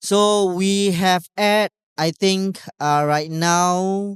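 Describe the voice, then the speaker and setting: Someone speaks at a very slow pace with a Malaysian accent. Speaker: talk show host. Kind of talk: live event talk show opening. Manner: hesitant, many fillers.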